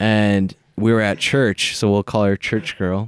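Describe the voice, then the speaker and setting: A man with an American accent speaks at a moderate pace in a fairly low, monotone voice with flat intonation, on a very clean recording with a silent background. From Minnesota. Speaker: podcast guest. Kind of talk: casual chat.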